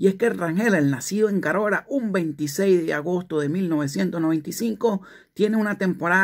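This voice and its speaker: A man's fairly slow speech comes over a quiet background. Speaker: sports news presenter. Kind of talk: scripted sports news narration. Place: home room. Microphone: phone near.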